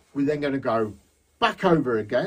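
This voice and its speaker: Speaking at a fairly slow pace in a Lincolnshire accent, a man with a fairly high pitch moves through very wide pitch swings. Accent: regional Lincolnshire English. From England, Lincolnshire (Horncastle). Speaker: balloon artist instructor. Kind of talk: tutorial. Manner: casual, chatty.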